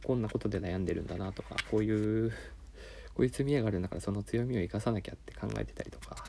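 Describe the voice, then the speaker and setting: Very fast male speech with vocal fry, big swings in loudness and ordinary pitch variation. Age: 30s. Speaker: podcaster. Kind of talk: solo monologue. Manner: halting.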